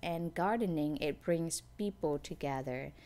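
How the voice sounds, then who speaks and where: A woman's fairly low-pitched voice with ordinary pitch variation, at a moderate pace, in a very clean recording with a silent background. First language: not English. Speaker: gardening vlogger. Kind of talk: casual tutorial. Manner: halting.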